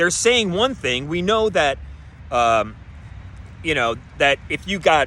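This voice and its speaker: An animated tone from a man at a moderate pace. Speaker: conspiracy-minded show host. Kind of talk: solo monologue show. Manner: loud; animated, yelling.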